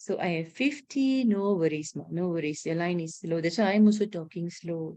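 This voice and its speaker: This woman has a dark, mellow tone at fairly low pitch. Her intonation is lively. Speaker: teacher. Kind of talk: online lesson. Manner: slow. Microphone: student's line slow.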